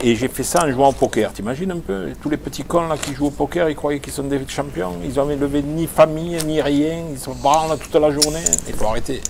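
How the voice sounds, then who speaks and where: A man's fairly high voice at a fairly quick pace with hardly any pauses, ordinary pitch variation and noticeable background noise. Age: 60s. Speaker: poker player. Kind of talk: trash talk during a poker match. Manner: animated.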